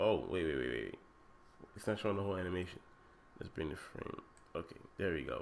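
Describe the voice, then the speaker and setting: Against noticeable background noise, a man talks in a very deep, low pitch. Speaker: game development tutorial YouTuber. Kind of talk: screen-recorded tutorial. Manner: casual, repetitive false starts.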